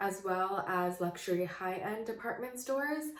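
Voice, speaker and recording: Amid audible room echo, a woman speaks at a moderate pace with lively intonation. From Canada. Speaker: beauty vlogger. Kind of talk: casual chat. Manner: hesitant, many fillers.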